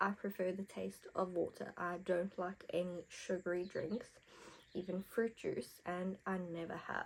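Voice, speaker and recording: At a medium pitch, a woman speaks at a fairly slow pace with monotone, flat intonation. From South Africa. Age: 20s. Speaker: beauty vlogger. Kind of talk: casual chat with makeup tutorial. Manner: chatty.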